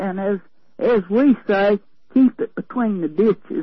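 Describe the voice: A woman talks with a Southern US accent and a slightly husky edge. Her pitch varies in an ordinary way. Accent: Southern US drawl.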